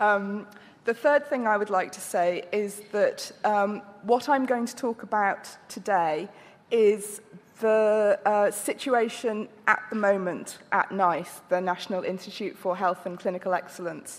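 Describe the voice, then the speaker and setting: Speaking at a fairly slow pace, a woman with a British accent uses a medium pitch and ordinary pitch variation. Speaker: health agency director. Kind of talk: conference presentation. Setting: conference with audience and translation. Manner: halting.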